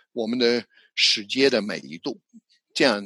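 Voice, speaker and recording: Recorded dry and close with no echo, a man with an English accent speaks in a bright, sharp tone. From New Zealand. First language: English (speaking Chinese). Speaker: psychologist and language educator. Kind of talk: interview. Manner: halting, with repetitions.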